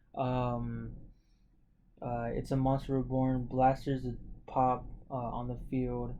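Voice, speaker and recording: Noticeable room echo around a male speaker. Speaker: card game content creator. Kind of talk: tutorial. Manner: halting, many fillers and repeats; casual.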